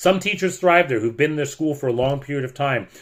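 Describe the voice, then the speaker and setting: A man speaks at a fairly quick pace in an animated tone, his fairly high pitch carried by lively intonation on a very clean recording with a silent background. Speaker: teacher. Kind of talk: rant.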